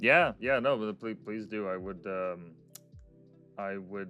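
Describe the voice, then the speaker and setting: A man with a very deep, low voice talks at a moderate pace, his intonation fairly even, while music plays in the background. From Canada. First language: Russian. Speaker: podcast host. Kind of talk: casual interview chat. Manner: hesitant, many fillers and repeats.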